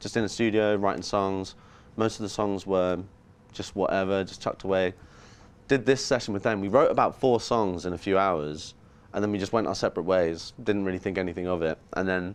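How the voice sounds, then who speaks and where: Someone with an English accent talks at a fairly quick pace against a quiet background. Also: man. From England, near London. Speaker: musician. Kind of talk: interview. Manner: casual.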